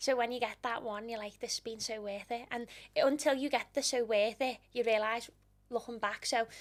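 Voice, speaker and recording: Here a woman talks at a fairly quick pace. Her voice is fairly high, with a Liverpool accent. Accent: Scouse. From Liverpool, England. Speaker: interior design influencer. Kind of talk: podcast interview. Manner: animated.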